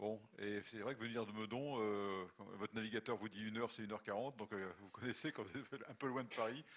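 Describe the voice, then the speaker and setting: The man talks at a very fast pace. His voice is fairly low and his intonation fairly even. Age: 60s. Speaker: retired army general. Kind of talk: lecture. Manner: halting.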